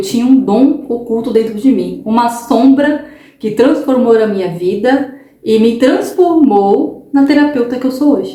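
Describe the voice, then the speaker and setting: Over audible room echo and noticeable background noise, the speech rises and falls with lively intonation. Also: woman. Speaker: holistic therapist and tarot reader. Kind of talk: casual vlog monologue. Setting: home recording at night. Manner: talkative, tends to speak loudly; animated, repetitive fillers.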